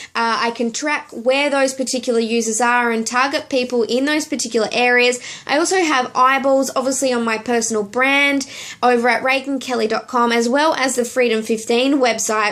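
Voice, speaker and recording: A woman speaks with an Australian accent. Her pitch is high. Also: fairly even intonation, moderate pace, very even loudness. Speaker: network marketing coach, video blogger. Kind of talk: direct-to-camera business tutorial. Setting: temporary home office in hotel room.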